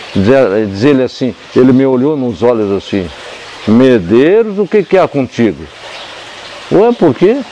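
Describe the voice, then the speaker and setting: With noticeable background noise behind him, a man speaks fairly slowly at medium pitch, his voice swinging very widely in pitch and broken by long, frequent pauses. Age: 80s+. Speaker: spiritist centre founder, psychologist. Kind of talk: interview, oral history storytelling. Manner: halting, repetitive.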